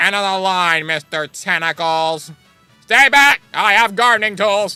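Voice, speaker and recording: A man puts on a nasal character voice, high-pitched and raised to project. He talks at a moderate pace over background music. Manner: grumpy, sarcastic.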